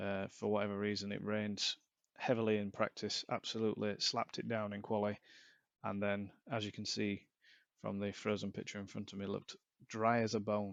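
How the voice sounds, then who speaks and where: Against a quiet background, a man with a fairly low pitch talks fairly quickly in a monotone, flat way. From Yorkshire, northern England. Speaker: sim racing commentator. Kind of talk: live commentary.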